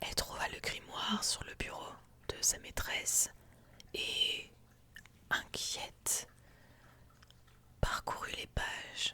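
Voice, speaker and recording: Someone whispers in a calm tone at a very slow pace, with long, frequent pauses, big swings in loudness and noticeable background noise. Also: woman. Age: 20s. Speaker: ASMR streamer. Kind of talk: ASMR lore reading, relaxation. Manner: soft, calm, relaxing.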